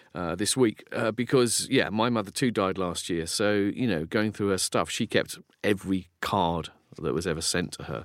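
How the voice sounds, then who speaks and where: The speaker has a southern English accent. The recording is very clean, with a silent background. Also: man, fairly low pitch for a man, ordinary pitch variation, moderate pace. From southeast England (Folkestone, Kent). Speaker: philosopher and author. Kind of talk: casual chat.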